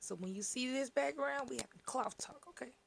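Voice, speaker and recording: This woman speaks in an animated tone. Her pace is moderate. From Tennessee, Chattanooga. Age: 20s. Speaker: crochet content creator. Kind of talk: tutorial. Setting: home studio.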